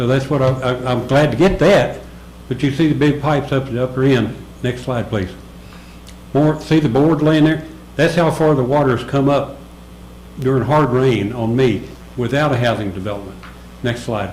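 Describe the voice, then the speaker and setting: A man's medium-pitched voice with ordinary pitch variation, long and frequent pauses, and audible room echo. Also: moderate pace. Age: 70s. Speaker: resident speaking at public comment. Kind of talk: public comment at a town meeting.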